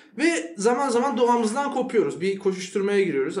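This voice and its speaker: This man's intonation is lively, with noticeable background noise behind him. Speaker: podcast co-host and doctor. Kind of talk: live podcast conversation. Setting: stage with audience.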